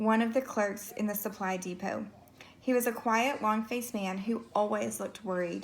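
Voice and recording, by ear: The speaker is reading aloud in a natural voice. The words come straight off the page.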